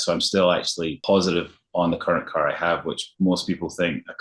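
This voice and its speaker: The speaker has a Scottish accent. The pace is fairly quick. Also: man. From Scotland, Glasgow. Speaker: luxury realtor. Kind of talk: interview.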